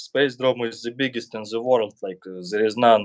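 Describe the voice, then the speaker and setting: Speaking at a fairly slow pace with a strong Russian accent, a man uses a medium pitch, the sound dry and close with no echo. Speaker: YouTuber. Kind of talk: casual chat.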